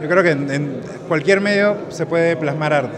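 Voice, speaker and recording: A man with a fairly high voice speaks fairly quickly while noticeable background noise carries on. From Peru, Lima; Peru. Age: young. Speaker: photographer. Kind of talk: interview. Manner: halting. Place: hall. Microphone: phone near.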